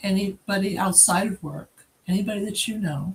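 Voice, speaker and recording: Somewhat breathy, a woman speaks at a medium pitch and moderate pace. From New England. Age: 70s. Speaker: founder of a heritage organization. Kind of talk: interview.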